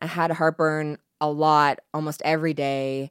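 A woman speaks in a normal speaking voice at a fairly low pitch and a fairly slow pace. The sound is dry and close, with no echo. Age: 30s. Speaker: pharmacist and cancer survivor. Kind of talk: interview, personal story.

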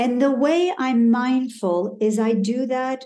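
The voice has a dark, mellow tone and an American accent. Its pitch moves in an ordinary way. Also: woman. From Denver, Colorado and Calgary, Alberta. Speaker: executive coach. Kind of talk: interview. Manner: animated.

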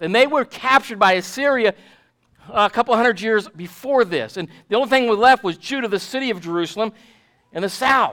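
On a very clean recording with a silent background, a man talks fairly quickly in a high pitch with ordinary pitch variation and a tone that is both bright and sharp and warm. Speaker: pastor. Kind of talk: sermon. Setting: church. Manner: fervent, declarative preacher cadence with emphatic repetition; warm, pastoral, addressing congregation directly.

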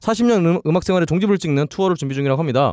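The recording is very clean with a silent background and a dry, close sound with no echo, as a man speaks at a fairly high pitch. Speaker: podcast co-host. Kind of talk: casual chat. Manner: joking.

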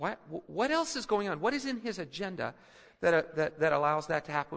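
A man's voice swings very widely in pitch as he talks in an American accent. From Philippines. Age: 50s. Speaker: pastor. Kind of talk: sermon. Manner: halting.

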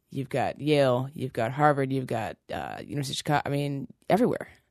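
A woman with an American accent, very deep and low in pitch, very fast, with fairly even intonation, in a dry, close sound with no echo over a quiet background. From Seattle, Washington. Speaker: fitness trainer. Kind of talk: interview.

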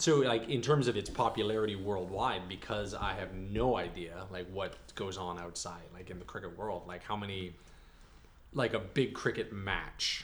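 This man has a normal speaking voice, fairly low in pitch with ordinary variation. He talks at a moderate pace. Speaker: podcast co-host.

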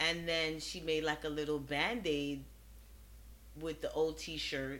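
Audible room echo surrounds a woman with an American accent whose very deep, low voice moves at a fairly slow pace. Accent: New York with Caribbean touches. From Brooklyn, New York, of Trinidadian parents. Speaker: physician. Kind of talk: casual interview. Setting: studio.

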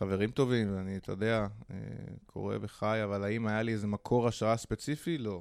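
In a very clean recording with a silent background, a man uses a normal speaking voice at a fairly low pitch, a moderate pace and fairly even intonation. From Israel (Holon). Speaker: hostel entrepreneur. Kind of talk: interview.

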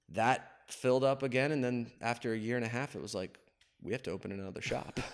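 A man's fairly quick delivery in an ordinary speaking voice, medium pitch and ordinary pitch variation throughout. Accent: American. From northeastern Pennsylvania (Wilkes-Barre). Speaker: barbershop owner. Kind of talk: casual interview. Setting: barbershop.

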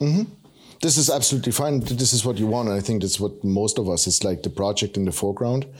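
Very fast and somewhat breathy, a man talks in a fairly low voice with lively intonation and very even loudness. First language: not English. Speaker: maker YouTuber and podcast co-host. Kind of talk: casual chat.

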